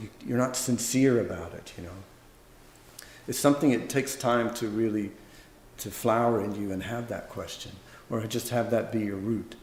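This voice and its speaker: Relaxed and medium-pitched, a man with an American accent talks at a moderate pace with ordinary pitch variation, with audible room echo. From US South, Louisiana. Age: 50s. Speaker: Zen monk and teacher. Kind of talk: dharma talk Q&A. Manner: relaxed, conversational.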